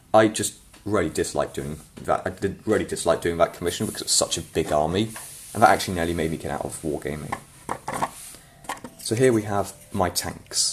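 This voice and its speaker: At a fairly quick pace, the speaker talks with ordinary pitch variation over noticeable background noise. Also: man. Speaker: miniature painting hobbyist youtuber. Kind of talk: casual show-and-tell. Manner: hesitant, with fillers.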